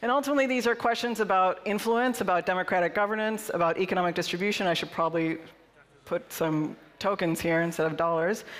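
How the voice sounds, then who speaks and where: Speaking at a very fast pace, a woman uses ordinary pitch variation. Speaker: conference keynote speaker. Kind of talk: conference talk. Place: hall. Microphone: headset.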